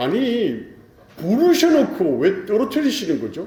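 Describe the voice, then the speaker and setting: The speaker's pitch swings very widely, with a Gyeongsang accent. Noticeable background noise and audible room echo are present. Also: man. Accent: Gyeongsang dialect pronunciation. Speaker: pastor. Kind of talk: sermon.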